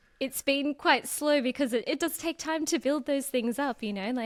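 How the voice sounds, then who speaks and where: With an Australian accent, a woman speaks in a high voice with ordinary pitch variation. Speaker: personal finance content creator. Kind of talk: podcast interview.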